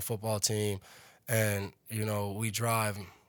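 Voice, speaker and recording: On a very clean recording with a silent background, a man speaks at a fairly low pitch in a monotone, flat delivery. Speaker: professional football player. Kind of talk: interview answer. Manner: soft-spoken.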